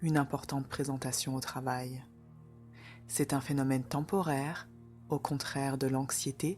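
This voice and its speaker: Over music in the background, a calm, soothing tone holds fairly even intonation. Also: woman. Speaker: meditation guide. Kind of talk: guided meditation. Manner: slow, calm, soothing.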